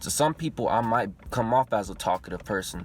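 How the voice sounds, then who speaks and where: Speaking in a normal speaking voice at a medium pitch, a man moves along at a fairly quick pace. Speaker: YouTuber. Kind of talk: personal vlog monologue. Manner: casual.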